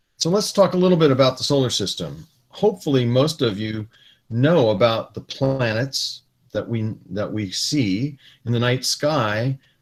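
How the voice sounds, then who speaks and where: A somewhat breathy man with an American accent, medium pitch, moderate pace and lively intonation. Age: 60s. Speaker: retired space engineer giving a talk to students. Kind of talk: lecture. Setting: video call.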